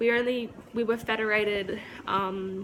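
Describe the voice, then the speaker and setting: A woman speaks at a medium pitch with an Australian accent. Her pitch varies in an ordinary way. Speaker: YouTuber. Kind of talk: casual vlog monologue. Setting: walking around at home. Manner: casual, filler-heavy.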